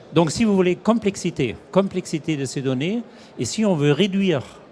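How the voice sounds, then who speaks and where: Lively intonation from a man at a fairly slow pace, with noticeable background noise. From Germany. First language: German (speaking French). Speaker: industry executive. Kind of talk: interview. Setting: trade show studio set. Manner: halting.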